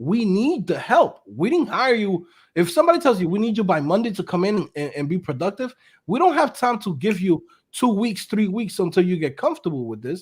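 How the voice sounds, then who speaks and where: In a very clean recording with a silent background, a man with a New York accent talks at a fairly quick pace in a high, animated voice with very wide pitch swings. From New York City. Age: 30s. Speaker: web developer and entrepreneur. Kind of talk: casual chat.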